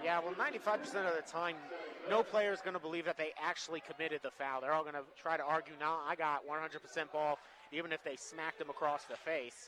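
A man speaks fairly quickly in a fairly high pitch. His intonation is fairly even, and noticeable background noise is heard. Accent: American. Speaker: color commentator. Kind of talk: live commentary. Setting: courtside at a high school gym.

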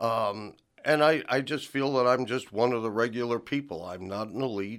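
In a plain, everyday voice, a man with an American accent speaks at medium pitch and a moderate pace on a very clean recording with a silent background. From New Jersey. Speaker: city council candidate. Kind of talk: radio interview. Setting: radio studio.

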